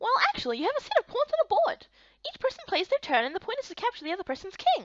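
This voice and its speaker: Putting on a squeaky character voice, a woman speaks at an extremely high pitch and a very fast pace, her pitch swinging very widely. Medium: fan dub. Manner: earnest, thoughtful.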